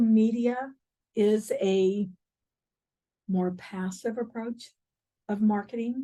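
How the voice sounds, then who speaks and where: Very slowly and somewhat breathily, a woman speaks at a fairly high pitch with fairly even intonation. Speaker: real estate coach. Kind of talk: workshop training session. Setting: in-person class with Zoom participants.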